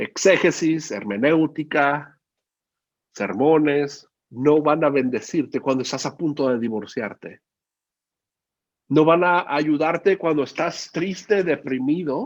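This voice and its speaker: A man speaks very slowly at a fairly high pitch, with long, frequent pauses. The background is quiet. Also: ordinary pitch variation. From Mexico, Guadalajara, Jalisco. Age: 40s. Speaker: preacher. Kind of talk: sermon.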